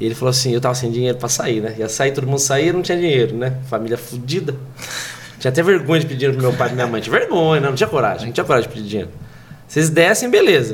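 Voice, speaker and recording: A man talks very fast at medium pitch with ordinary pitch variation. Audible room echo and noticeable background noise surround him. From Brazil, São Paulo state (Pirituba, then Pinhalzinho). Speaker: comedian. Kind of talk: casual chat.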